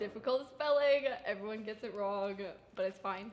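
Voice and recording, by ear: A woman's slightly mellow voice with audible room echo. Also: medium pitch for a woman, ordinary pitch variation, moderate pace.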